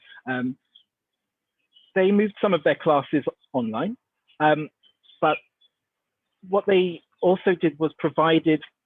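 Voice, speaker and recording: With a British accent, a man with a fairly high-pitched voice speaks at a fairly slow pace, leaving long, frequent pauses. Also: ordinary pitch variation. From UK. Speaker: dance artist, conference panelist. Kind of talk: online panel discussion. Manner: hesitant, many fillers.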